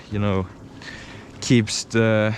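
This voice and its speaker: Noticeable background noise sits under a man's medium-pitched voice as he talks at a very slow pace. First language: not English. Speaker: jet ski vlogger. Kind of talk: casual POV vlog review. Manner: halting, many filler uhs.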